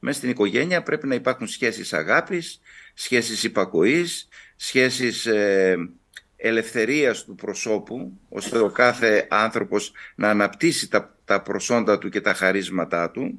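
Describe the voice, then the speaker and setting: A man talks at a fairly slow pace against a quiet background. His pitch swings very widely. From Kavala, northern Greece; northern Greece. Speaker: Orthodox bishop. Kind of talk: TV interview. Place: home room. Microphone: video call.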